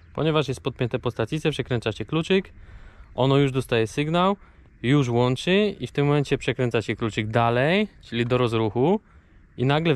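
The speech moves at a fairly quick pace. The sound is dry, with no echo. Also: man. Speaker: camper van vlogger. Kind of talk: casual vlog tutorial explanation. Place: open country. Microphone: phone near.

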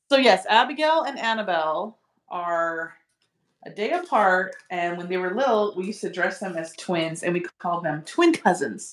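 With lively intonation, a woman speaks at a medium pitch and moderate pace, with audible room echo. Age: 40s. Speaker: beginner sewer, host's sister; host's sister. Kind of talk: casual chat while sewing along. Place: home room.

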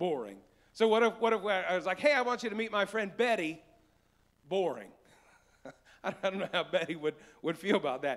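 Lively intonation and an animated tone in an American accent, at a fairly quick pace against a quiet background. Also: man. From West Virginia. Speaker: pastor. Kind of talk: sermon. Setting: church live stream. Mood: playful, joking. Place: church. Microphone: handheld.

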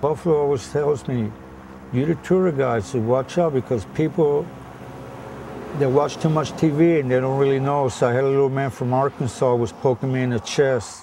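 In a normal speaking voice, a man with an American accent talks at a medium pitch and moderate pace with ordinary pitch variation. The sound is dry with no echo, and there is light background noise. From Florida Everglades; Florida. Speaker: tour guide. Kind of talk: casual chat. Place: boat.

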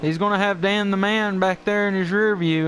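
Against background music, a man talks with fairly even intonation. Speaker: race commentator. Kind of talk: live race commentary.

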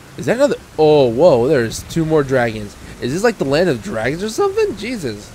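Speaking at a fairly quick pace, a man with a fairly high pitch makes very wide pitch swings against noticeable background noise. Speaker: gaming YouTuber. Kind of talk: let's play commentary. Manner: soft-spoken.

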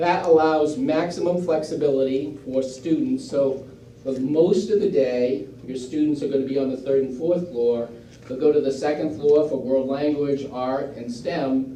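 Audible room echo around a male voice, fairly high in pitch and moderate in pace, with ordinary pitch variation. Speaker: school district official presenting to town board. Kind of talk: public presentation at town meeting. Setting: town board meeting.

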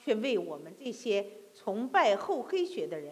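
Very wide pitch swings mark the speech. It moves at a fairly slow pace. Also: woman. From mainland China. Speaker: preacher. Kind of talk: sermon. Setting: church. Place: church.

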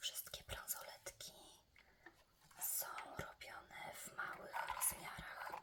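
A woman whispers very slowly, with long, frequent pauses and noticeable background noise around her. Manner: whispered, relaxing.

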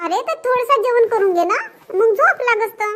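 A woman uses a cartoonish character voice, extremely high in pitch and raised and projected. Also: moderate pace. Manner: fussing, nagging.

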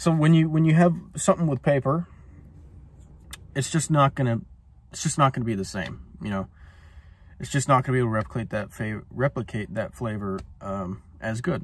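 A man talks at a fairly quick pace in a somewhat breathy voice, and the sound is dry with no echo. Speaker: cigar reviewer. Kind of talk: casual vlog chat. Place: car. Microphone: phone near.

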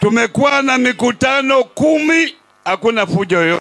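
Over crowd noise, a man speaks at a fairly slow pace in a raised, projected voice with ordinary pitch variation. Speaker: speaker, politician. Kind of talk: political rally speech. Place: open country. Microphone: handheld.

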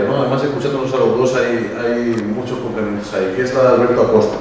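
Speaking at a fairly quick pace, a man has a medium pitch. The recording has light background noise and strong room echo. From Spain. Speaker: event organizer and moderator. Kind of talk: event moderation. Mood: warm, lightly humorous. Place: hall.

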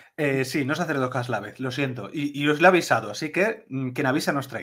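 A man with a normal speaking voice talks at a moderate pace and fairly high pitch. His pitch varies in an ordinary way over a quiet background. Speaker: podcast co-host. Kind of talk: casual chat. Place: home room.

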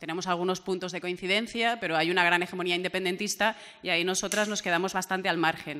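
Amid light background noise, a woman races at a very fast pace with monotone, flat intonation. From Valencia, Spain; Spain. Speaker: regional MP and journalist; journalist. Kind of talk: panel discussion; panel debate talk. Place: meeting room. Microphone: podium.

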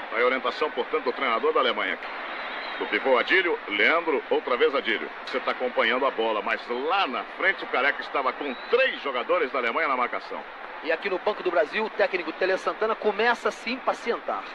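Against noticeable background noise, a man with a high pitch talks at a fairly quick pace, his pitch swinging very widely. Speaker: radio sports commentator. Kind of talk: vintage live football commentary, archive match broadcast. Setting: stadium, broadcast over archive footage. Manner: rapid-fire, clipped play-by-play, reeling off player names; excitable on shots and chances, lively.

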